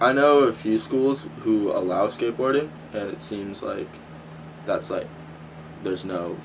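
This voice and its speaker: A man talks with lively intonation. He leaves long, frequent pauses. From Southern California. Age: young. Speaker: college student. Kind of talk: interview. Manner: halting.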